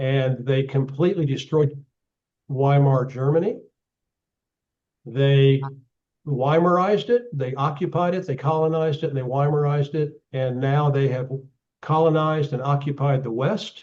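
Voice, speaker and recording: A man with an Oklahoma accent, fairly high pitch, ordinary pitch variation and long, frequent pauses. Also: moderate pace. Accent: Oklahoma American English. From US, Oklahoma. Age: 70s. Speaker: geopolitical analyst. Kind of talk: talk with audience Q&A. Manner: halting, many repeated words.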